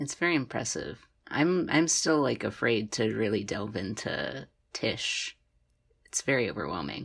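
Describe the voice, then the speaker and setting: A woman with a very deep, low pitch and vocal fry speaks at a fairly slow pace. Her pitch swings very widely. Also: very clean recording, silent background. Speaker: college student podcast co-host. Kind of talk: casual chat.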